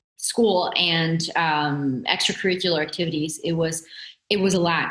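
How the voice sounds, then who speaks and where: In a room with audible echo, a woman talks at a moderate pace. Her pitch is fairly low and her loudness very even. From Italy, then US from age 10. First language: Italian or Portuguese. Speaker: entrepreneur and coach. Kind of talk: podcast interview. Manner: animated.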